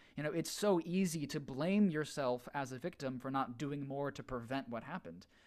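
A man with a plain, everyday voice speaks at a fairly high pitch and a moderate pace, with lively intonation and hardly any pauses. The recording is very clean, with a silent background. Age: 20s. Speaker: theater performer. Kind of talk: casual chat.

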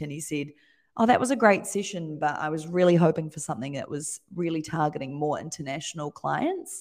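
In a New Zealand accent, a woman with a very deep, low voice speaks at a fairly quick pace with ordinary pitch variation, in a very clean recording with a silent background. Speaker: design studio owner. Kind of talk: casual interview chat.

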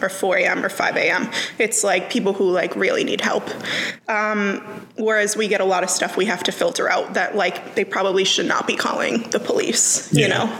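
The speaker keeps a moderate pace and very even loudness with ordinary pitch variation, while noticeable noise sits in the background. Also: woman, medium pitch for a woman. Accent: American. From Worcester, Massachusetts. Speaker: 911 dispatcher. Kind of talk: casual chat.

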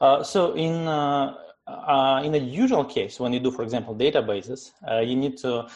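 At a moderate pace and medium pitch, a man speaks in a Russian accent with ordinary pitch variation over a quiet background. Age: 30s. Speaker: tech startup CEO. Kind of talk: interview. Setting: video call.

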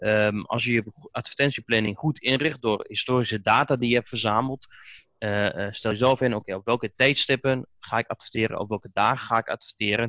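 Using an ordinary speaking voice, a man with medium pitch talks at a fairly quick pace with fairly even intonation. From Netherlands, Oldenzaal, Overijssel. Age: 30s. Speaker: Google Ads specialist and trainer. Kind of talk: podcast interview.

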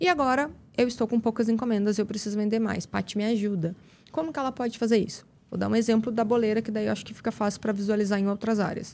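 A woman at a fairly high pitch and a very fast pace, on a very clean recording with a silent background. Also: ordinary pitch variation. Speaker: method specialist, education entrepreneur. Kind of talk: interview conversation.

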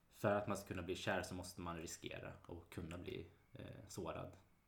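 His pitch is very deep and low, and his voice is somewhat breathy. The man speaks in a flat monotone with audible room echo. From Sweden, Mariestad (Västergötland). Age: 30s. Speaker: real estate agent. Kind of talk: casual chat.

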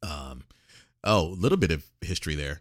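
On a very clean recording with a silent background, a man shows vocal fry at a very deep, low pitch with ordinary pitch variation. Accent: American. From military childhood, North Carolina, Germany, Mississippi Gulf Coast. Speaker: author and radio DJ. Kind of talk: casual chat.

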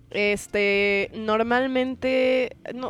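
The woman's voice is fairly high-pitched. Its pitch moves in an ordinary way. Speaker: podcast host. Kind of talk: casual chat. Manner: animated.

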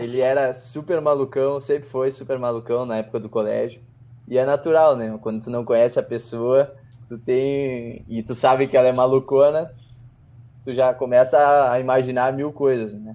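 Speaking at a moderate pace in a medium pitch, a man keeps a monotone, flat intonation while his loudness swings widely. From southern Brazil, Porto Alegre. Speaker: podcast co-host. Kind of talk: casual chat.

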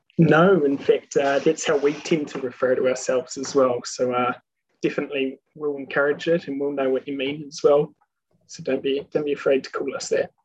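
A man talks fairly quickly in a New Zealand accent. His fairly high voice stays monotone and flat. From New Zealand, Queenstown. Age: 20s. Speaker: airline pilot. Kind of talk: casual chat.

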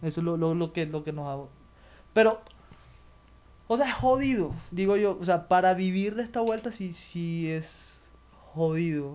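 A man speaks at a fairly slow pace with a high pitch. His delivery has long, frequent pauses. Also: ordinary pitch variation. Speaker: podcast host. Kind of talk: casual chat.

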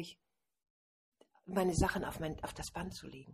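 A woman at a fairly quick pace, medium in pitch, somewhat breathy with a dark, mellow tone. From Hamburg, northern Germany. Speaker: author and wedding and funeral speaker. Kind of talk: casual interview. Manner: animated, laughing often.

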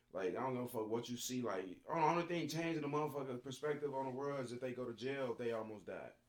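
Over noticeable background noise, a man with an American accent talks at a very fast pace with hardly any pauses, at a medium pitch with ordinary pitch variation. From Chicago, Illinois. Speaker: college football player and rapper. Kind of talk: casual chat.

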